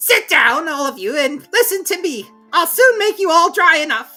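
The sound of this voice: Over faint music in the background, a woman puts on a character voice at an extremely high pitch, with a bright, sharp tone, big pitch swings and a moderate pace.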